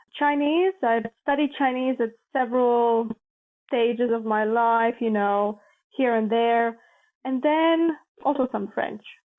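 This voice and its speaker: A woman speaks in a Latvian accent. Her pitch is high, with ordinary variation. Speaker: international organization staffer, former journalist. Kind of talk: podcast interview.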